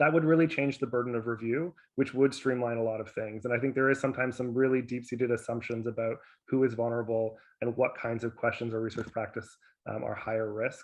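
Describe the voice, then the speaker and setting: A man at a medium pitch, talking at a very fast pace. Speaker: public health professor. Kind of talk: virtual conference panel discussion.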